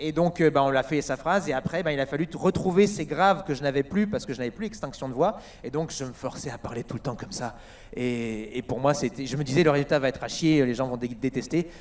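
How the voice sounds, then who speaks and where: A man speaks at a very fast pace. His pitch is fairly high, with ordinary pitch variation. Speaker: voice actor. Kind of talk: convention panel talk. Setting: stage with audience.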